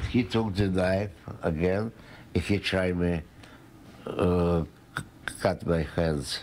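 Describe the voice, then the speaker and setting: A man's very deep, low voice at a very slow pace, with long, frequent pauses, fairly even intonation, very even loudness and light background noise. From Ukraine. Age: 80s+. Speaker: stabbing victim, former restaurant owner. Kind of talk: interview answer. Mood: recounting attack, recovering. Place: home room. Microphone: handheld.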